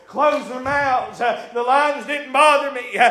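Amid audible room echo and noticeable background noise, a man uses a raised, projected voice at an extremely high pitch, speaking fairly slowly with fairly even intonation. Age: 40s. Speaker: preacher. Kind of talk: sermon. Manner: hesitant fillers.

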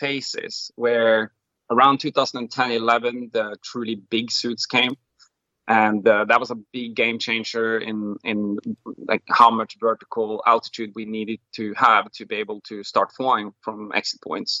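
A man with a Norwegian accent talks at a fairly slow pace and medium pitch, his loudness swinging a lot. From Norway. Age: 40s. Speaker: wingsuit pilot and BASE jumper. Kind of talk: interview.

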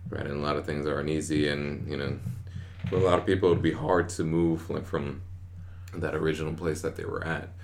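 Music plays in the background as a man talks at a fairly quick pace. His pitch is very deep and low, with fairly even intonation. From Queens, New York. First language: Spanish. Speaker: army soldier, first-generation American. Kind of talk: casual chat.

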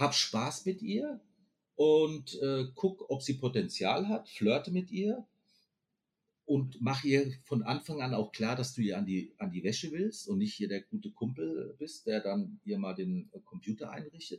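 With very wide pitch swings, a man talks fairly slowly in a fairly high, somewhat breathy voice. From Frankfurt am Main, Hesse, Germany. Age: 50s. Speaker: podcast guest. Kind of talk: casual interview chat.

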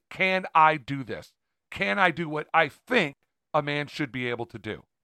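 A fairly high-pitched man speaks in an animated, bright, sharp tone with lively intonation. The recording is very clean, with a silent background and a dry, close sound with no echo. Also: big swings in loudness. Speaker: podcast co-host. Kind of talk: casual banter. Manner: joking, animated.

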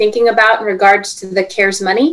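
A woman with a normal speaking voice, fairly high pitched, at a fairly quick pace. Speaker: podcast co-host. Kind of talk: podcast hosting.

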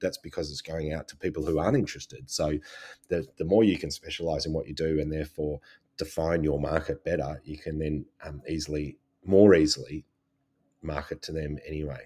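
Speaking in an Australian accent, a man with a very deep, low pitch and a dark, mellow tone moves at a fairly quick pace, his intonation fairly even and his loudness swinging widely. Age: 40s. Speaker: photographer and podcast co-host. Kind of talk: casual chat.

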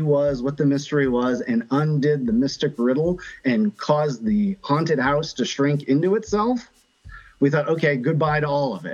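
A man with an American accent speaks at a moderate pace, his pitch fairly high. He has an unremarkable speaking voice with lively intonation. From US Midwest, Ohio. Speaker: live action role player and craftsman. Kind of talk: interview, casual storytelling.

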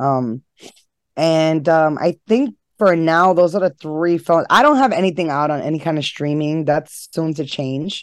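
A woman speaks at a fairly slow pace in a New York accent, her very deep, low voice moving with ordinary pitch variation over a dry, close sound with no echo and a quiet background. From New York City (Harlem). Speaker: horror host and filmmaker. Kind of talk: casual interview chat.

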